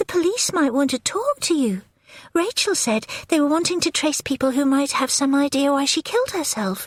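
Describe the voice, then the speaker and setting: A put-on character voice with very wide pitch swings, in a dry, close sound with no echo. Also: woman, high pitch for a woman, moderate pace, very even loudness. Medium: read story. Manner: blunt, curt.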